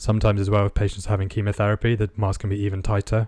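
With a British accent, a man talks at a very fast pace in a fairly low pitch and monotone, flat intonation, on a very clean recording with a silent background. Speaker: podcast co-host and radiographer. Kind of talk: interview.

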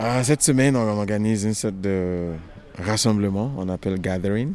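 An ordinary speaking voice from a man, fairly low in pitch, at a fairly slow pace with ordinary pitch variation. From Nigeria. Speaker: choreographer. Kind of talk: interview.

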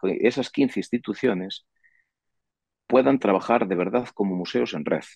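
A man speaks fairly quickly. The pitch moves in an ordinary way. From Galicia, Sarria (Lugo). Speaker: industrial engineer and museum promoter. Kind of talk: interview. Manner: halting, many fillers.

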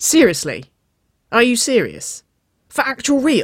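The put-on character voice moves at a fairly slow pace, with a fairly bright tone and very wide pitch swings.

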